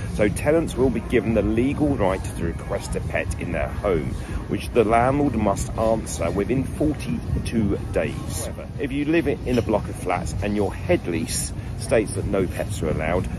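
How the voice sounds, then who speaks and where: There is clear music in the background as a man speaks at a moderate pace. The sound is dry, with no echo. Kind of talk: informational talk to landlords. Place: garden. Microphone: phone near.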